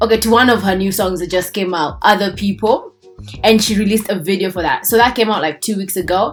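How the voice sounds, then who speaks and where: Music plays in the background as a woman speaks at a very fast pace. Her intonation stays fairly even. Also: medium pitch for a woman. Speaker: YouTube commentator. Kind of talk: casual talk to camera.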